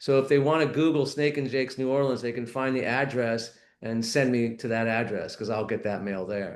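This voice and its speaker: Fairly even intonation at a moderate pace. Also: man. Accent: American. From US West Coast, Los Angeles. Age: 60s. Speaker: mayoral candidate. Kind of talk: interview.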